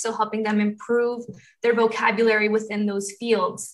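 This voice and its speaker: A woman at a fairly quick pace, her tone bright and sharp. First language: Spanish. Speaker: undergraduate student panelist. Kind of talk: student panel talk. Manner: frequent 'um' fillers.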